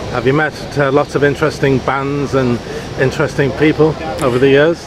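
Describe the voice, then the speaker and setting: Over noticeable background noise, a man with a fairly high pitch speaks fairly quickly in a monotone, flat intonation. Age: 60s. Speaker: festival interviewer. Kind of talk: casual interview. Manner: halting, many fillers.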